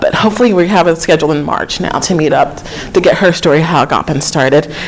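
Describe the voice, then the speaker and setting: Over noticeable background noise, a woman with an American accent speaks fairly quickly in a fairly low voice. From Georgia, US South. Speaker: historic preservation program coordinator. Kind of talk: lecture. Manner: fast.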